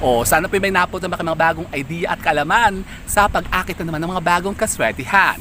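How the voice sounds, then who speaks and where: With music playing behind him, a man talks at a fairly quick pace in a high pitch, his pitch varying in an ordinary way. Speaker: vlogger, lucky charm seller. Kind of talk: casual vlog presentation. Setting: outdoors. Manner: animated.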